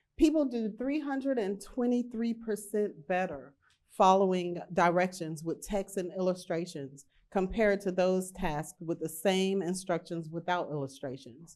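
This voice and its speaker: At a moderate pace, a woman speaks at a medium pitch with lively intonation. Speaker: HR professional. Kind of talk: conference talk. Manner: halting.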